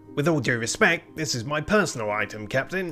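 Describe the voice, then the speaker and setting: Over clear background music, a man performs a put-on character voice at a fairly quick pace. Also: fairly high pitch for a man. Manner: defensive, shifty.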